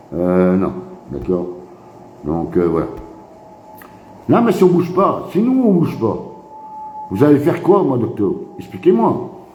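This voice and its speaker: In an animated tone, a man speaks at a fairly slow pace with long, frequent pauses, very wide pitch swings and big swings in loudness. Noticeable background noise and audible room echo are present. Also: fairly high pitch for a man. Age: 60s. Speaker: activist live streamer. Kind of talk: casual live stream monologue. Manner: repetitive, animated.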